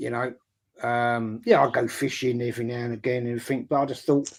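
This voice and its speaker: A man with an English accent talks fairly quickly at medium pitch, keeping his intonation fairly even. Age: 60s. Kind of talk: casual chat.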